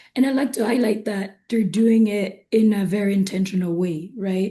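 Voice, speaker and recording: Somewhat breathy and dark and mellow in tone, a woman speaks with fairly even intonation. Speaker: investment firm executive. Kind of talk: webinar panel discussion.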